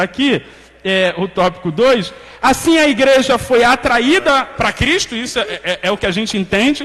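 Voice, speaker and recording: With lively intonation and an extremely high pitch, a man speaks at a moderate pace over noticeable background noise. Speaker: Bible study teacher. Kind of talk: Sunday school lesson.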